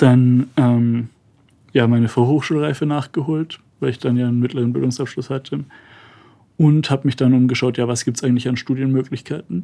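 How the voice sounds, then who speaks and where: Fairly even intonation marks this man's medium-pitched voice. His tone is dark and mellow, and his pace is fairly quick. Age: 20s. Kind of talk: interview.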